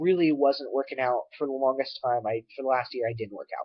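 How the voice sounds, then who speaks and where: A man's voice sits at a fairly high pitch, with fairly even intonation. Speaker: vlogger. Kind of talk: casual vlog to webcam. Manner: halting, many fillers.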